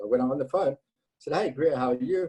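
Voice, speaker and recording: The sound is dry and close, with no echo. A man speaks with a non-native accent. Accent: non-Texan foreign. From South Africa. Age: 50s. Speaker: entrepreneur and cancer survivor. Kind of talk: storytelling interview. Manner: animated.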